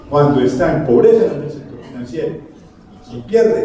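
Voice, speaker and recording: A man at a fairly quick pace with very wide pitch swings, amid audible room echo and noticeable background noise. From Colombia, Medellín (paisa). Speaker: health professionals' association president. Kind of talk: panel discussion.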